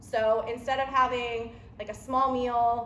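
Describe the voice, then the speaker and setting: A woman speaks at a fairly high pitch with fairly even intonation. The recording has audible room echo and noticeable background noise. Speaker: nutrition coach. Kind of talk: seminar talk.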